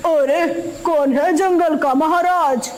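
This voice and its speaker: The speaker puts on a cartoonish character voice over noticeable background noise. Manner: menacing, gloating laugh.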